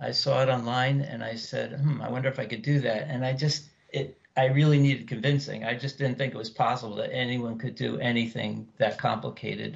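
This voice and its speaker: A man with a plain, everyday voice, hardly any pauses and fairly even intonation. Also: medium pitch for a man, fairly quick pace. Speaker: needlepoint business partner and stitcher. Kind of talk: casual interview chat.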